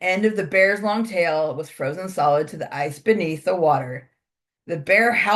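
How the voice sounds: The voice is a natural reading voice. Its pitch varies in an ordinary way against a quiet background.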